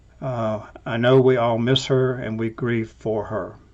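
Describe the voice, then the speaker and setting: The speaker is a man with an American accent. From Alabama, US South. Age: 70s. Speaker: scientist, professor. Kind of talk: recorded toast.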